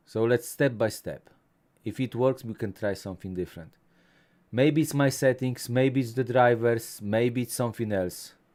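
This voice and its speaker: In a very clean recording with a silent background, a man with a Polish accent speaks at a moderate pace. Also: medium pitch for a man, ordinary pitch variation. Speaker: tech YouTuber. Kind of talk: live stream chat.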